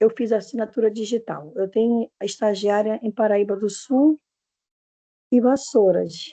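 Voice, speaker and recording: A woman speaks fairly slowly in a fairly high pitch, her dark, mellow tone carrying ordinary pitch variation. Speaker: internship supervisor asking a question. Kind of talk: question in online class.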